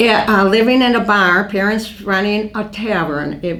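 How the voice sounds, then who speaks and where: A woman's medium-pitched voice in an American accent, ordinary pitch variation and moderate pace, with noticeable background noise and audible room echo. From US Midwest, western Wisconsin. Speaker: oral history interviewee. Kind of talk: oral history interview. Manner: halting.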